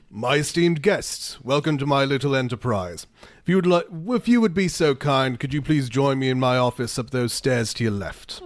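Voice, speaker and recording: Using a gruff, put-on character voice at a medium pitch, a man talks at a moderate pace with lively intonation. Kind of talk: polite, formal.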